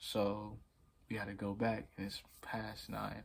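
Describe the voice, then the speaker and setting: A man has a fairly low, somewhat breathy voice. His intonation is monotone and flat. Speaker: vlogger. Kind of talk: storytelling. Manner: stuttering; casual.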